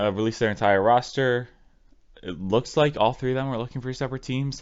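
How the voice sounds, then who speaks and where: A medium-pitched male voice with ordinary pitch variation. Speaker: esports commentator. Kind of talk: solo news breakdown video. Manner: soft-spoken.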